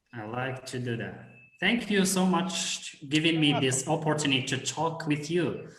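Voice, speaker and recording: A man speaks at a fairly high pitch and a fairly slow pace. His voice carries audible room echo. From Morocco. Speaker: teacher, English learner. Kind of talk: casual chat. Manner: halting.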